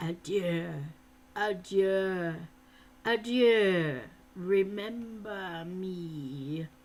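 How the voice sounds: A female-sounding put-on character voice, medium in pitch, moves at a very slow pace with long, frequent pauses.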